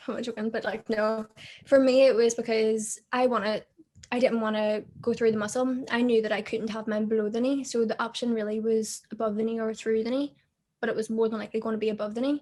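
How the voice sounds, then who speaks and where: A woman speaks very fast with a Belfast accent, her fairly high voice dark and mellow in tone and her intonation flat and monotone. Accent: Belfast Northern Irish. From Northern Ireland, Belfast. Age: 20s. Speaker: amputee model and social media personality. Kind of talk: casual interview chat.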